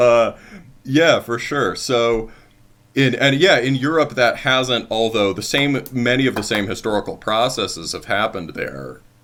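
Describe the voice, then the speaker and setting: This man has an ordinary speaking voice at a medium pitch, with an American accent, ordinary pitch variation and a fairly slow pace. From United States. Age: 30s. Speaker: podcast host. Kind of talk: interview.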